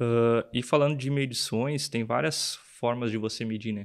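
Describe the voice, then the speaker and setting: Here is a man with an ordinary speaking voice. He talks at medium pitch and a moderate pace, with ordinary pitch variation. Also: quiet background. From Rio Grande do Sul, Brazil (São Jerônimo, Eldorado do Sul); Rio Grande do Sul, Brazil. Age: 20s. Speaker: production engineer; guest. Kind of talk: interview. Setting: studio. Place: studio. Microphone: studio mic.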